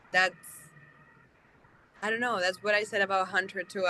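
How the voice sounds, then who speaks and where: This woman speaks with a Spanish accent. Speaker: actress. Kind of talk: interview. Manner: halting.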